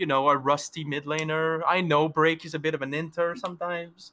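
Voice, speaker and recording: The speaker has a strong French accent and a bright, sharp tone. The recording is very clean, with a silent background. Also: man. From France. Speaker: esports player. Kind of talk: post-match interview. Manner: animated.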